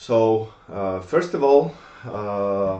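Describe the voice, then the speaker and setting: A man speaks with a Polish accent and lively intonation. His voice is fairly low in pitch, with a dark, mellow tone. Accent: Polish accent, non-native English. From Poland. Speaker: gun collector. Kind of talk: tutorial. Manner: halting, many fillers.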